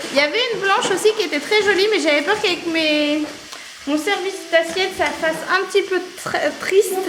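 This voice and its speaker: A woman's extremely high voice at a moderate pace, with ordinary pitch variation, noticeable background noise and audible room echo. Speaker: vlogger, mother of a large family. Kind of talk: casual vlog talk to camera. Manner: halting, with frequent hesitations.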